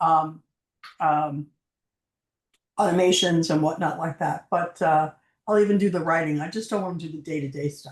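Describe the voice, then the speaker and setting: A woman with an American accent, a fairly low pitch and fairly even intonation, broken by long, frequent pauses. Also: moderate pace. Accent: New York accent, comes out sometimes. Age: 60s. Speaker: marketing agency owner and coach. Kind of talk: interview. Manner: halting, many fillers.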